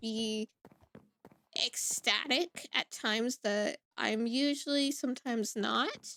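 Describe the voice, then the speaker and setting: A woman speaks loudly with a bright, sharp tone and ordinary pitch variation. The sound is dry and close with no echo, on a very clean recording with a silent background. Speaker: gaming YouTuber. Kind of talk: casual chat. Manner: rambling.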